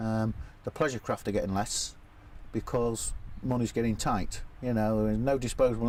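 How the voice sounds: A slightly mellow tone at a moderate pace, with fairly even intonation. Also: man.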